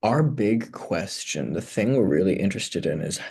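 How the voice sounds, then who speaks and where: A man's voice with vocal fry and lively intonation. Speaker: writer vlogging a writing challenge. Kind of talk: casual vlog talk. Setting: conference room in a public library. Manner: hesitant, filler-heavy.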